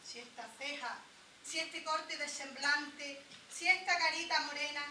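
A woman speaks at a fairly slow pace in a raised, projected voice. Light background noise and audible room echo surround her. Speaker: actress in a rural drama. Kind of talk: theatrical verse monologue. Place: stage. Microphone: camera far.

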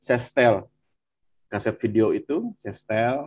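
A man speaks in a dark, mellow tone with very wide pitch swings. His moderate pace comes through with a dry, close sound and no echo. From West Java, Bandung. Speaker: viewer sharing testimony. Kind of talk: testimony. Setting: video call.

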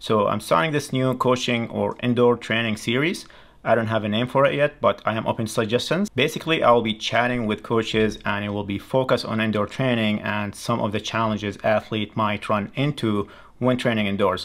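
A man speaks fairly quickly, with fairly even intonation, over a quiet background. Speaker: channel host. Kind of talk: video intro and guest introduction. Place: studio.

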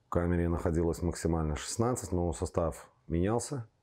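The voice has a dark, mellow tone at a moderate pace. The background is quiet. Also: man. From Belarus, Minsk; Belarus. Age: 40s. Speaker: football fan, torture survivor; interviewee. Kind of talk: testimony; interview answer. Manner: halting. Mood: grim, indignant. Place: studio. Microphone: lapel.

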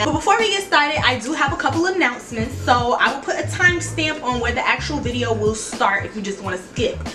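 A woman at a very fast pace, with clear music in the background. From New Orleans, Louisiana. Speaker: YouTuber. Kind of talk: casual talk to camera. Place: home room. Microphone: phone near.

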